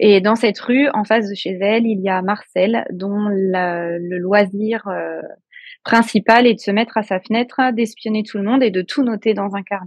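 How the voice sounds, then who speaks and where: A woman's unremarkable speaking voice, medium in pitch, at a moderate pace with fairly even intonation. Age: 40s. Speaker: novelist and kindergarten teacher. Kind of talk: interview.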